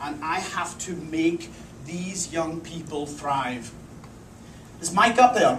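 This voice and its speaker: Heard with audible room echo, a man with a fairly high pitch talks at a very slow pace. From Scotland, Isle of Lewis (Outer Hebrides). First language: Scottish Gaelic. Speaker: culinary instructor. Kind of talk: presentation talk.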